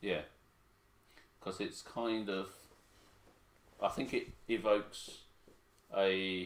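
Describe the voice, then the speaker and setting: A man's fairly low voice with an English accent, at a very slow pace with long, frequent pauses and ordinary pitch variation. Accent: very English, Queen's English. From Hong Kong. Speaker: parent co-host. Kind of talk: casual livestream chat.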